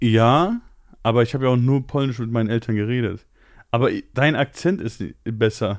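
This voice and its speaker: A man with a medium pitch speaks at a moderate pace, using ordinary pitch variation and long, frequent pauses. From Poland. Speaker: podcast host. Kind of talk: casual chat.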